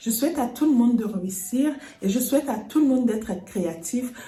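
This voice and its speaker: Speaking with a Congolese accent, a woman uses a fairly high pitch with ordinary pitch variation at a fairly quick pace. Noticeable background noise and audible room echo fill the recording. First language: Lingala (speaking French). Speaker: lifestyle and home decor YouTuber. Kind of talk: personal vlog address to viewers. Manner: earnest.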